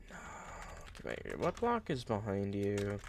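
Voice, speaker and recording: A man talks in a fairly low pitch. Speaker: Minecraft content creator. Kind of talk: tutorial. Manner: fast; halting, many fillers.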